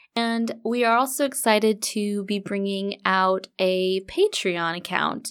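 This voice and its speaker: A normal speaking voice from a woman with an American accent, medium pitch, ordinary pitch variation and a fairly slow pace, in a very clean recording with a silent background. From Southern California. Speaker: homesteader podcast host. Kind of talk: solo podcast monologue. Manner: casual, chatty.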